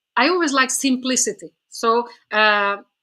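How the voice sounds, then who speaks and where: A woman with a non-native accent speaks in a bright, sharp tone with ordinary pitch variation. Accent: foreign. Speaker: author and spiritual teacher. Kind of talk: podcast interview. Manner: hesitant, many fillers and repetitions.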